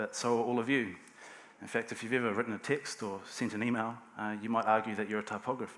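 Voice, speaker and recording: Speaking at a fairly quick pace, a man with a New Zealand accent uses medium pitch and fairly even intonation. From New Zealand, Hawke's Bay. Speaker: type designer. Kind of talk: conference talk. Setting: stage with audience. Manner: halting, with frequent fillers and repeats.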